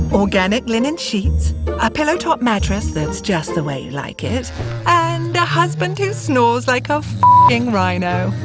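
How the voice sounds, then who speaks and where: Clear music plays in the background while a woman speaks at a fairly slow pace. Her voice sounds dry, with no echo. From British. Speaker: voice actor. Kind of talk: TV commercial read. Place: booth.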